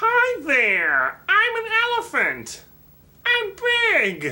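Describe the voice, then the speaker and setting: A cartoonish character voice at an extremely high pitch, delivered at a very slow pace. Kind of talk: puppet show dialogue.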